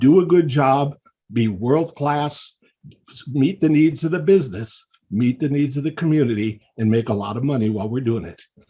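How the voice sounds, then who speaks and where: A man's dark, mellow tone comes out somewhat breathy, with lively intonation at a moderate pace. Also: medium pitch for a man. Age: 70s. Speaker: public commenter. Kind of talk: public comment.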